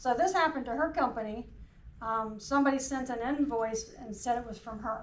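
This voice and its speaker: In a room with audible echo, a woman speaks in a Southern US accent at a high pitch and a fairly quick pace. Her pitch variation is ordinary, but her loudness swings widely. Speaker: cybersecurity trainer. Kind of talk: workplace training presentation. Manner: short phrases paused for interpreter.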